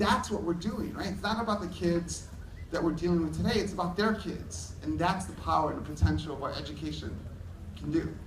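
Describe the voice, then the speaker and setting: A man talks in a room with audible echo, noticeable background noise around him. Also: fairly quick pace. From New York City, Hell's Kitchen. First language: Spanish. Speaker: education technology speaker. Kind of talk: conference keynote.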